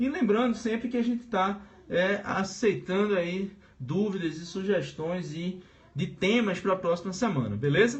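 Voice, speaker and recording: With audible room echo and noticeable background noise, a man speaks fairly slowly at a high pitch. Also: ordinary pitch variation. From Brazil, Pernambuco. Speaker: teacher. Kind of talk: live-streamed lecture. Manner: casual, hesitant with filler sounds.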